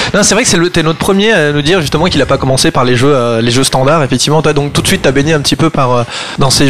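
Noticeable background noise sits under this man's voice. His pitch is fairly high and varies in an ordinary way. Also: very even loudness. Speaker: radio host. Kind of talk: radio talk show. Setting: studio.

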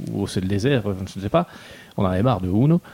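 Lively intonation marks a man's speech, which moves at a fairly quick pace. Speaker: board game reviewer. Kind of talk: casual chat.

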